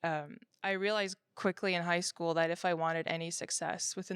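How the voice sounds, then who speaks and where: A woman with a fairly low pitch talks at a moderate pace and with fairly even intonation in a very clean recording with a silent background. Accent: Quebec. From Quebec. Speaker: interviewee. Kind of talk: interview testimony.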